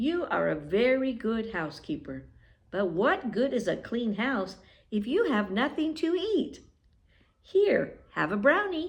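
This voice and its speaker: Using a put-on character voice, a woman speaks at a high pitch and a fairly slow pace with very wide pitch swings. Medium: read story. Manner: friendly, generous.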